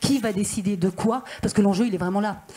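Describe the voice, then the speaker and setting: A woman talks at a medium pitch. Her pitch variation is ordinary. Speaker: senator and regional councillor. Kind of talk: panel discussion remarks. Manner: fast.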